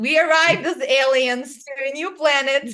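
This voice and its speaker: A woman with a Russian accent talks at a moderate pace and a high pitch. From small town in Russia. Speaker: clairvoyant and hypnotherapist. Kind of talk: interview storytelling. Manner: animated.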